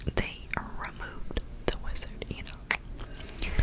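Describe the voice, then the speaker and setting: The speech is whispered. Behind it, background noise is noticeable. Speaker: ASMR creator. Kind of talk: improvised bedtime story. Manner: whispered, soft-spoken.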